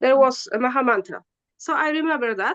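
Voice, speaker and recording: Against a quiet background, a woman with a Polish accent speaks at a high pitch with lively intonation, the sound dry and close with no echo. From Poland. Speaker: spiritual practitioner. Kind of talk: interview. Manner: halting.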